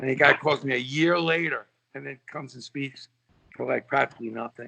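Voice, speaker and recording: Fairly quick and fairly high-pitched, a man with a New York accent speaks in a bright, sharp tone with vocal fry and big swings in loudness, the sound dry and close with no echo. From New York City (Brooklyn). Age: 60s. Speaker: sports marketer and author. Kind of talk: casual podcast interview. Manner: animated.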